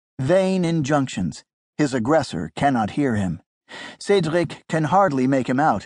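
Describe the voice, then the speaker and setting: A man with a fairly high pitch speaks at a fairly slow pace with lively intonation in an unremarkable speaking voice over a quiet background. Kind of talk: audiobook narration, dramatic thriller storytelling.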